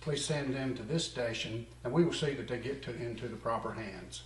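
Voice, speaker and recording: Using an American accent and a plain, everyday voice, a man talks at medium pitch and a fairly quick pace, with lively intonation and hardly any pauses. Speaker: comedy news anchor. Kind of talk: mock local TV news read.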